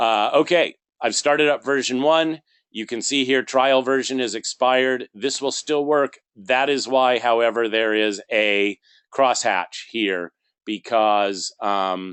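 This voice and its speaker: Spoken at a fairly slow pace, a normal speaking voice carries ordinary pitch variation. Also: man, medium pitch for a man. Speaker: software trainer. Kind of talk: tutorial.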